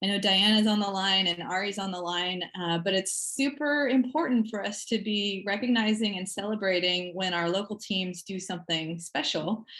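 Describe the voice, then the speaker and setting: With hardly any pauses, a woman speaks at a moderate pace in a medium pitch with ordinary pitch variation over noticeable background noise. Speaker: meeting facilitator. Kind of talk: online meeting facilitation.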